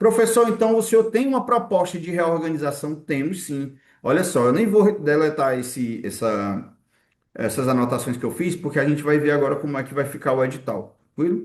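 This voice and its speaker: In a room with audible echo, a man speaks in a fairly high register, his pitch swinging very widely. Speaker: exam-prep teacher. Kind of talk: online lecture. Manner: fast.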